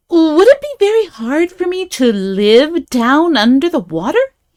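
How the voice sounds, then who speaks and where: Using a put-on character voice, a woman speaks at a high pitch and a moderate pace. Her pitch swings very widely. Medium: read story.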